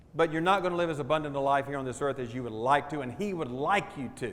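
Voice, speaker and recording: With a Southern US accent, the words come out at a fairly quick pace. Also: man. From US South, Jacksonville Florida. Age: 70s. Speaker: stewardship pastor. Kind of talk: testimony talk to audience. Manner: animated.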